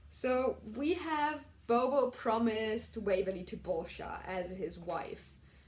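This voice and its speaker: Lively intonation carries a voice with a somewhat breathy quality. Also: woman. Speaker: TV recap vlogger. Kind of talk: casual review monologue.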